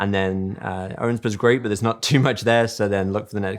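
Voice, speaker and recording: Very fast speech with an English accent and fairly even intonation, in a very clean recording with a silent background. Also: man. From England. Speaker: real estate agent. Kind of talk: interview. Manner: calm.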